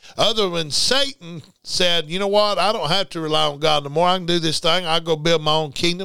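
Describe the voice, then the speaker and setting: Speaking with a Southern US accent, a man uses a high pitch and a bright, sharp, animated tone. His intonation is lively and his pace moderate. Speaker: preacher. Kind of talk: sermon. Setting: radio studio. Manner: animated, preacherly; emphatic, repetitive.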